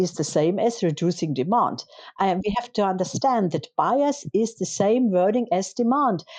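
With a German accent, a woman speaks at a moderate pace and medium pitch, her tone dark and mellow and her intonation lively. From Germany. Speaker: politician. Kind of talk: interview. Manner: halting, many fillers.

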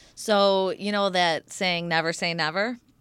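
On a very clean recording with a silent background, a woman speaks in a normal speaking voice at a moderate pace, with a fairly low pitch and ordinary pitch variation. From Michigan, US. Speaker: yoga instructor and raw food chef. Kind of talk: interview.

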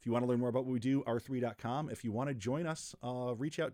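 An unremarkable speaking voice, this man talks with an American accent at medium pitch and with ordinary pitch variation. The pace is fairly quick, and the recording is very clean with a silent background. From western New York. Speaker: fintech executive. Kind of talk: casual chat. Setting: studio.

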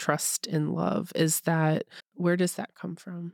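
A woman with a plain, everyday voice talks at a fairly slow pace in a dry, close sound with no echo. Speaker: podcast interviewer. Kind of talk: casual interview.

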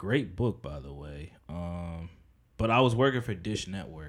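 On a very clean recording with a silent background, a man talks at a moderate pace with lively intonation. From New Jersey (Edison, Piscataway). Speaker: clothing designer. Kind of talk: casual chat.

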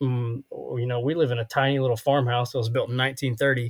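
Somewhat breathy, a man speaks at a moderate pace with fairly even intonation. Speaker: podcast host. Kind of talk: casual chat.

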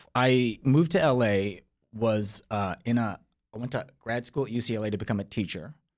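A plain, everyday voice in a General American accent, with ordinary pitch variation at a moderate pace. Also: man, medium pitch for a man. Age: 40s. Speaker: screenwriter and actor. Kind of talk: casual chat.

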